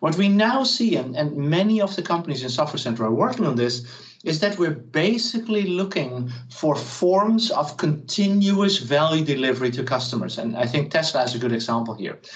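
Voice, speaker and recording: A man speaks at a fairly quick pace in a fairly high pitch with very wide pitch swings. Audible room echo surrounds his voice. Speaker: professor. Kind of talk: lecture. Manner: fast.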